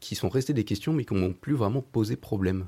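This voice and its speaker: On a very clean recording with a silent background, a man with a fairly low pitch sounds somewhat breathy, with a dark, mellow tone and lively intonation. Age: young. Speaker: astrophysicist, postdoctoral researcher. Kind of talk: radio interview.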